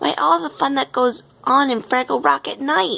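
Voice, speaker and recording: A woman performs a put-on character voice at a moderate pace. Her pitch is high and swings very widely. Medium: read story. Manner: excitable.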